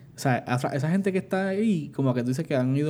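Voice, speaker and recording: The man's tone is dark and mellow. His pitch varies in an ordinary way. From Puerto Rico. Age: 20s. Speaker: podcast co-host. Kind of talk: casual chat.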